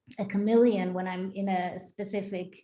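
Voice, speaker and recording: A woman at a medium pitch talks at a fairly slow pace with flat, monotone intonation. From Israel. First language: Hebrew. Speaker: synagogue executive director. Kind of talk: interview. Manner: hesitant, many fillers.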